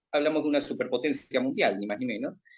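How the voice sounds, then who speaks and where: The man's pitch swings across a very wide range. He gets his words out at a very fast pace. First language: Spanish. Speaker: political show host, interviewer. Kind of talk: interview. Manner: hesitant, many fillers.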